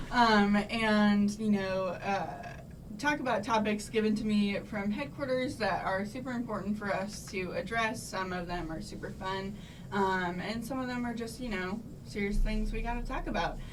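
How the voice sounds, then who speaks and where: Ordinary pitch variation runs through this moderately paced speech, with audible room echo and noticeable background noise. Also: woman, medium pitch for a woman. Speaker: sorority officer, college student. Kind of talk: casual interview. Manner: loud; hesitant fillers.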